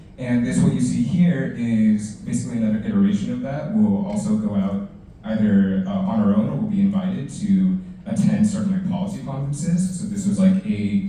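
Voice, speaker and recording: A man with a high pitch and very wide pitch swings speaks at a fairly quick pace, with audible room echo and noticeable background noise. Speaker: city council staff panelist. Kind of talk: career panel presentation. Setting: library event with audience. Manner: fast.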